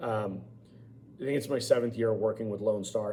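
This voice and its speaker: Audible room echo surrounds a man talking at a fairly quick pace in a monotone, flat intonation. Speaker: college government instructor and high school teacher. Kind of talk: online lecture. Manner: loud; informal.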